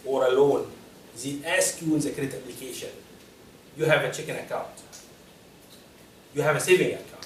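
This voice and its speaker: Fairly high-pitched, a man speaks at a fairly quick pace. Audible room echo and noticeable background noise surround his voice. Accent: non-native. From Egypt. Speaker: personal finance speaker. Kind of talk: lecture.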